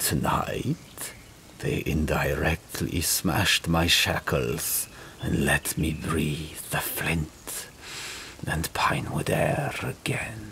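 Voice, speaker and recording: In a put-on character voice, the speaker whispers at a very slow pace. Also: man. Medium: read story. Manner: measured, regal.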